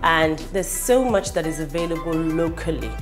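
Clear music sounds in the background as a woman speaks at a moderate pace. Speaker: cooking show host. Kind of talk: cooking show presentation. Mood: cheerful, enthusiastic. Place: kitchen.

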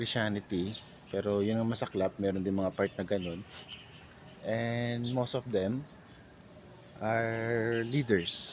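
Very slow, mostly level speech from a man at a mid pitch, broken by long and frequent pauses. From Philippines. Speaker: vlogger. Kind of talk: personal reflection monologue. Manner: halting.

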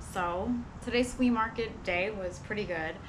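A woman talks at moderate speed with ordinary pitch variation while noticeable noise runs in the background. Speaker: vlogger. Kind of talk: casual vlog chat. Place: street. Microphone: camera far.

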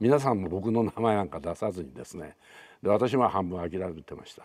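Over a quiet background, a man speaks in a very deep, low pitch. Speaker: actor recalling a film. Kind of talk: interview answer. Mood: calm, reflective, light laugh. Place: home room. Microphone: lapel.

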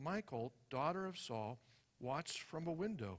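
A man speaks against a quiet background. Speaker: preacher reading scripture. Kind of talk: scripture reading. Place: church. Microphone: headset.

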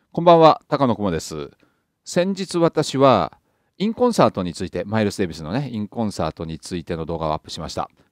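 Over a quiet background with a dry, close sound and no echo, a man with a fairly low pitch talks at a very fast pace, his pitch swinging very widely. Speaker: jazz YouTuber and author. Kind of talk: casual monologue answering a viewer comment. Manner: chatty, conversational, humorous.

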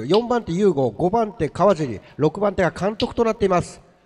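Noticeable background noise under a man talking at a moderate pace with ordinary pitch variation. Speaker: race announcer. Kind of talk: live race commentary. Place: hall.

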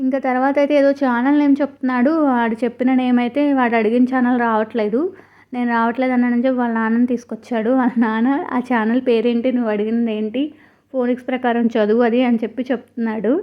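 A woman speaks in a high pitch with monotone, flat intonation. Her loudness stays very even. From Eluru, West Godavari, Andhra Pradesh. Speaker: lifestyle vlogger, homemaker and mother. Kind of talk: vlog voiceover narration.

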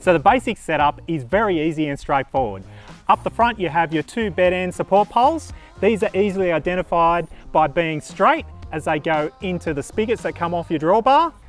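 There is faint music in the background of this dry, echo-free recording. A man speaks at a fairly quick pace. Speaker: camper trailer vlogger. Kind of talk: tutorial. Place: open country.

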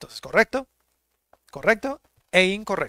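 Against a quiet background, a man speaks at a moderate pace in a bright, sharp tone, with a dry sound and no echo. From Mexico. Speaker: English teacher. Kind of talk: online language lesson. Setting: live stream. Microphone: headset.

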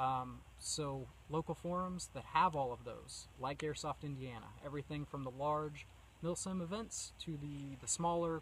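A man talks at a moderate pace with ordinary pitch variation, in a dry sound with no echo and light background noise. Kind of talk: casual vlog talk. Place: forest.

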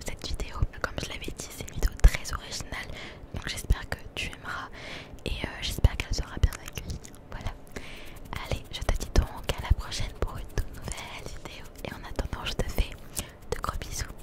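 Loud background noise surrounds the speech, though the sound itself is dry with no echo. The pace is moderate, broken by long, frequent pauses. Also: woman. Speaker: content creator. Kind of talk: casual vlog chat. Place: shop. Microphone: handheld.

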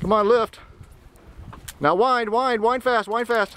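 The speech moves at a fairly slow pace in a dry sound with no echo, with light background noise. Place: boat. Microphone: camera far.

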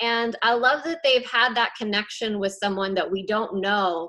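At a moderate pace, a woman talks with ordinary pitch variation against a quiet background. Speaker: staff member hosting a call. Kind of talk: casual conversation. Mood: warm, hopeful. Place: home room. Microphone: video call.

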